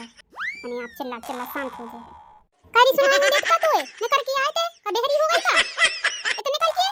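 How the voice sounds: Cartoonish character voice at a moderate pace, with very wide pitch swings, big swings in loudness, and sound effects in the background. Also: woman, extremely high pitch for a woman.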